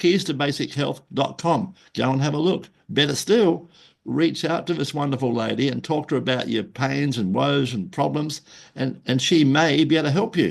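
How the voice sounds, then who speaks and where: A man talks at a moderate pace with fairly high pitch, ordinary pitch variation and some vocal fry. The background is quiet. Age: 70s. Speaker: podcast host and marketing consultant. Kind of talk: podcast interview. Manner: casual, chatty with filler words.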